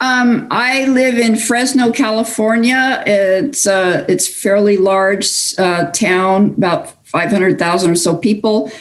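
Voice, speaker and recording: A woman's fairly high voice at a very slow pace, with hardly any pauses, ordinary pitch variation, very even loudness and noticeable background noise. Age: 60s. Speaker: online community member. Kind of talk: personal interview.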